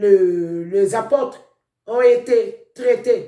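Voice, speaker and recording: With a non-native accent, this man talks at an extremely high pitch for a man, with ordinary pitch variation and a dark, mellow tone. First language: not French (speaking French). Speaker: preacher. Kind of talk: sermon.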